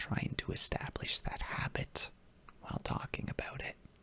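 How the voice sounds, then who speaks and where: The voice is whispering at a fairly slow pace. Noticeable background noise is present. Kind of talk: ASMR comfort and reassurance talk to the listener. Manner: soft-spoken, whispered, rambling.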